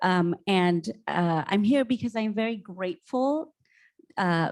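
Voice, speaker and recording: The recording is very clean, with a silent background. A woman at medium pitch speaks with a Spanish accent. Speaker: school principal. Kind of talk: panel discussion.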